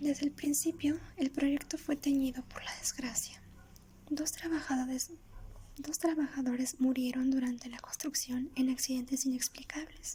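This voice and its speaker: A soft-spoken woman with a high pitch and monotone, flat intonation. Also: fairly slow pace. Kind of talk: ASMR soft-spoken storytelling. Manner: soft-spoken, relaxing.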